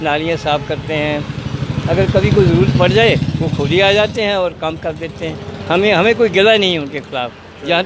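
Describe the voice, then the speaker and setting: A man's high voice shows normal pitch variation, heard over clear background noise. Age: 80s+. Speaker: local resident. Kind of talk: street interview. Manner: animated.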